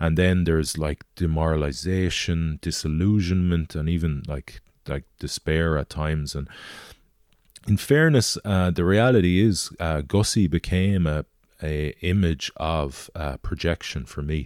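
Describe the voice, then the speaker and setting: A man speaks at a fairly slow pace with a very deep, low pitch and ordinary pitch variation, in a very clean recording with a silent background and a dry, close sound with no echo. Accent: western Irish. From Galway, Ireland. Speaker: former rugby player and extreme adventurer. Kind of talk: interview. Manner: halting.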